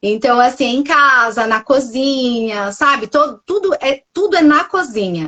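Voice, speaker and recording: A woman with a Minas Gerais accent speaks at a very slow pace with ordinary pitch variation. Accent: mineiro. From Minas Gerais, Brazil. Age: 40s. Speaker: nutritionist. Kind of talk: testimony. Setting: Instagram live podcast.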